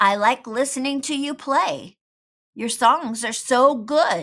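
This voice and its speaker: Putting on a character voice, a woman speaks at a fairly slow pace with a high pitch. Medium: read story. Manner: laid-back, cool.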